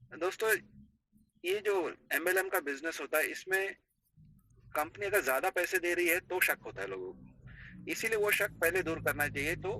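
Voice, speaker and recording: Talking at a moderate pace, the man has a non-native accent. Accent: non-native Hindi. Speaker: network marketing admin. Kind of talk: business presentation.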